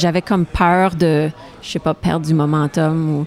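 A woman speaks at a fairly slow pace in a fairly low pitch, with fairly even intonation and noticeable background noise. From Saskatchewan, western Canada (Franco-Saskatchewanian). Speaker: singer-songwriter. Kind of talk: interview. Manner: halting, with many repetitions.

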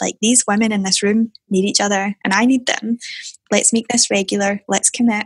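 A woman with a Scottish accent talks at a moderate pace in a fairly high, somewhat breathy voice with ordinary pitch variation, the sound dry and close with no echo. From Scotland, Airdrie. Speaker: tech entrepreneur. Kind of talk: interview. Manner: soft-spoken.

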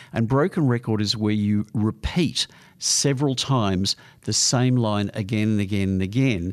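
Over a quiet background, a man with an Australian accent talks at a moderate pace and medium pitch, with ordinary pitch variation. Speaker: psychologist giving advice. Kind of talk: advice segment answering listener letters. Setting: studio.

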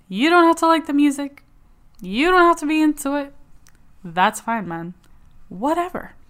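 A woman's high, animated voice with very wide pitch swings at a moderate pace, in a very clean recording with a silent background. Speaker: podcast co-host. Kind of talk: casual chat.

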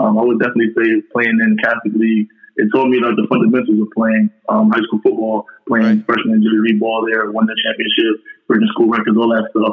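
In a New York accent, a man speaks very fast at a medium pitch with monotone, flat intonation. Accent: New York City. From Far Rockaway, Queens, New York City. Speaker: college football player. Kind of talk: casual interview.

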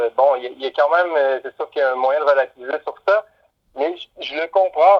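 A man's fairly high voice with a Quebec accent. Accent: Québécois. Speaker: musician. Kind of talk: casual interview. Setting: phone call. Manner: halting.

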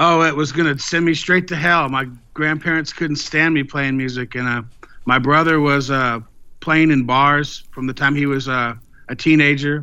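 Speaking at a moderate pace with a Texan accent, this man has a fairly high pitch and fairly even intonation. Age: 50s. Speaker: blues guitarist and singer-songwriter. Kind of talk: interview.

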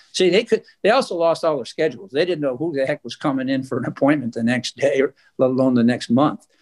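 Lively and fairly high-pitched, a man talks at a very fast pace in a dry, close sound with no echo. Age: 70s. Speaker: cancer patient. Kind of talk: interview. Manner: halting.

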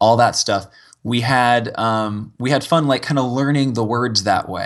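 A man talks in an ordinary speaking voice at a medium pitch. The background is quiet. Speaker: game show winner. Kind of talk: casual interview.

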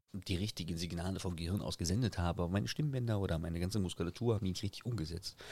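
This man's voice is very deep and low, with ordinary pitch variation. He talks at a very fast pace. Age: 30s. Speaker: TikToker and streamer. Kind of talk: casual chat.

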